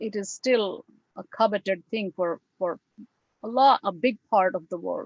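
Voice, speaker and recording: With a Bengali accent, the speaker goes at a moderate pace with lively intonation, the sound dry and close with no echo. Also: woman. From India. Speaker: English professor. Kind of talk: lecture. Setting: video call.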